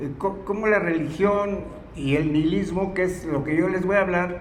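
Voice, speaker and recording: A man speaks with a central Mexican accent at a high pitch and with fairly even intonation. Audible room echo and noticeable background noise fill the recording. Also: moderate pace. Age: 80s+. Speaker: philosophy lecturer. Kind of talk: lecture. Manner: halting.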